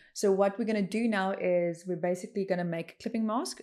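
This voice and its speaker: A woman talks in a dark, mellow tone. Her pitch varies in an ordinary way. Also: very clean recording, silent background. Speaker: illustrator teaching software. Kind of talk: tutorial. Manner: loud, excited.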